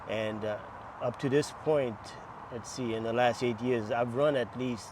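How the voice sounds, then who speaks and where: Here is a man with an unremarkable speaking voice at medium pitch. He goes at a fairly slow pace with fairly even intonation. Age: 60s. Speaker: masters marathon runner. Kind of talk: interview.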